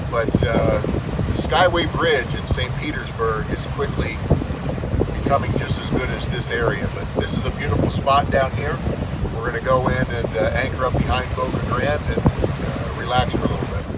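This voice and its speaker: A man at a moderate pace, with loud background noise and a dry sound with no echo. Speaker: boat skipper vlogger. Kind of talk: casual vlog chat. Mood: relaxed, joking. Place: boat. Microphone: phone near.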